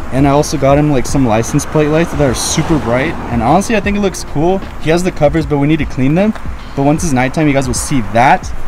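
Over music in the background, a man talks at a very fast pace with ordinary pitch variation. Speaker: car vlogger. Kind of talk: casual vlog chat. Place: street. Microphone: phone near.

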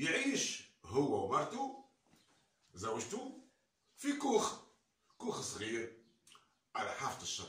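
A man in a Tunisian accent at a very slow pace, with long, frequent pauses and audible room echo. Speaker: storyteller. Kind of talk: traditional folk tale telling. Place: home room. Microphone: camera far.

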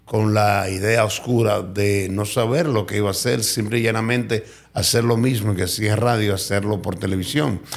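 There is audible room echo as a man speaks at a moderate pace, a fairly low pitch and fairly even intonation. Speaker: radio and TV presenter. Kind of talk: interview testimony.

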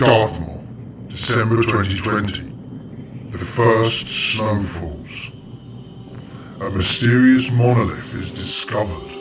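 Over clear background noise, a man does a put-on character voice at medium pitch, speaking very slowly. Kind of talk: trailer narrator. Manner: mysterious, dramatic.

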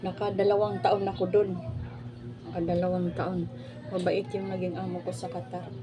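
The speech moves at a moderate pace with long, frequent pauses, amid audible room echo and noticeable background noise. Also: woman. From Philippines. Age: 40s. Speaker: vlogger, former overseas domestic worker. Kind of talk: casual vlog monologue.

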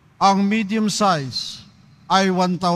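A man is speaking. His pitch is high. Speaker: lay commentator. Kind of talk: announcements; liturgical responses. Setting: church.

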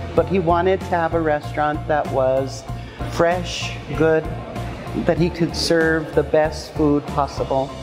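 Clear music plays behind a woman speaking at a fairly slow pace. Her loudness stays very even. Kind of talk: interview answer. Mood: warm and proud. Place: cafe. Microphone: lapel.

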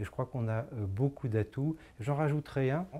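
The speaker is a man. His pitch varies in an ordinary way. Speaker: local community council president. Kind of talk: interview answer. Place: office. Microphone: lapel.

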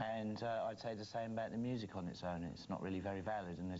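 With a plain, everyday voice, a man talks at a moderate pace and fairly even intonation against light background noise. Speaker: guest. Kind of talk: interview answer. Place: studio.

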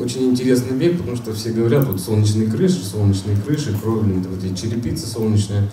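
Amid audible room echo and light background noise, a man talks at a fairly quick pace with ordinary pitch variation. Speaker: solar energy installer; conference presenter. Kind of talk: conference presentation. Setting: conference hall with audience. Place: hall.

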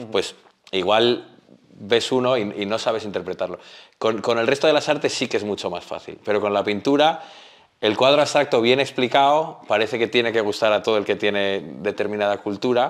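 A man talks fairly quickly with ordinary pitch variation while the background stays quiet. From Spain. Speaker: painter; interviewee. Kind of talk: interview. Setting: artist's studio. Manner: halting, repeats words. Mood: relaxed, animated. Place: studio. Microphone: lapel.

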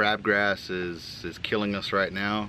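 A man's fairly low voice in a monotone, flat intonation, dry with no echo, over light background noise. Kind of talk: casual vlog update. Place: open country. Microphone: phone near.

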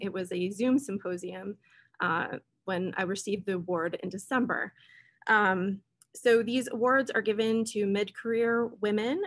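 Her intonation stays fairly even. The woman speaks at a fairly slow pace. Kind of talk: lecture. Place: home room. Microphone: webcam.

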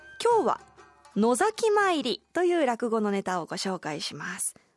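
The voice has a Kansai accent and very wide pitch swings. Faint music plays in the background, and the sound is dry with no echo. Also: woman. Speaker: radio announcer and amateur rakugo performer. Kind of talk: radio segment presentation. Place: studio.

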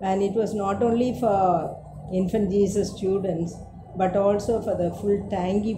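A woman's voice over music in the background. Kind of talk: interview answer. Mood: warm, reminiscing, smiling. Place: home room. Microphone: camera far.

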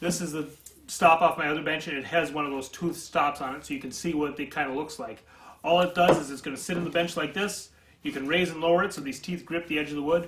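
A man talking at a very fast clip, fairly even in intonation, with light background noise. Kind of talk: tutorial. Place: workshop. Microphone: camera far.

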